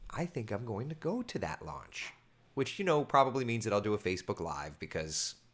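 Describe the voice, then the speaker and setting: A man speaks in an animated tone with vocal fry. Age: 30s. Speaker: meteorologist. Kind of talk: casual chat. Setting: live stream.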